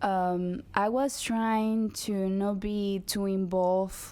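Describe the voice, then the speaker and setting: A woman speaks with a Spanish accent. Her pitch is medium and her intonation fairly even. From Dominican Republic. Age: 20s. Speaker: activist. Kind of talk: interview.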